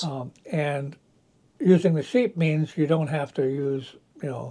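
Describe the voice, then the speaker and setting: Somewhat breathy and dark, mellow in tone, this man's fairly high voice moves at a fairly slow pace with ordinary pitch variation. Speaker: organic farmer. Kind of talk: interview answer.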